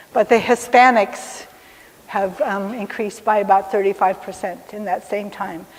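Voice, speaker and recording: At a moderate pace and medium pitch, a woman speaks with fairly even intonation and big swings in loudness over noticeable background noise. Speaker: technology executive and diversity speaker. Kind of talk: lecture.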